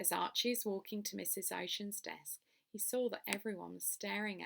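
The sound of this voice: An unforced reading voice moves with ordinary pitch variation.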